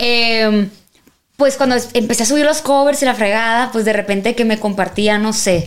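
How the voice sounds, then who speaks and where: At a moderate pace, a woman uses an unremarkable speaking voice, fairly high in pitch, with very even loudness and ordinary pitch variation. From Mexico, Sinaloa (Culiacán). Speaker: singer. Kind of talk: casual interview chat.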